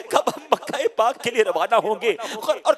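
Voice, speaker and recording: Against noticeable background noise, the speaker's pitch swings very widely. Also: man. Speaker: Islamic preacher giving a sermon. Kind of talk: emotional Islamic sermon (bayan).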